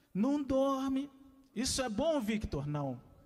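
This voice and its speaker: Audible room echo surrounds a man speaking at a very slow pace. His pitch swings very widely. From Rio de Janeiro, west zone (Senador Camará). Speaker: lecturer, arts educator. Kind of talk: lecture.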